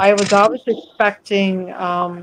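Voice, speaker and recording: A woman's voice at a medium pitch and a fairly slow pace. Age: 70s. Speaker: former Jehovah's Witness, panel participant. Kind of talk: casual group chat on a livestream; personal testimony.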